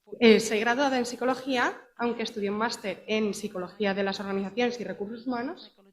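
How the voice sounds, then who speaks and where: A woman with a Madrid accent talks at a moderate pace. Her pitch is fairly high, with ordinary variation. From Madrid, Spain. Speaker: company representative, psychologist in HR. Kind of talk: conference presentation.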